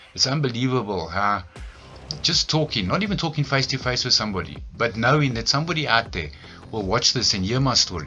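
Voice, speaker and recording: With music in the background, a man talks at a very fast pace. His medium-pitched voice makes very wide pitch swings. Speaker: recovering addict vlogger. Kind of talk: personal testimony monologue. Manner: casual, hesitant with fillers.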